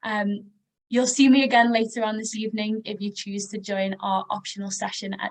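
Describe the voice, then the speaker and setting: Somewhat breathy and monotone, a woman with an American accent speaks at a moderate pace with flat intonation. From northern England, Liverpool. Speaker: educational advisor. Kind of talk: webinar introduction.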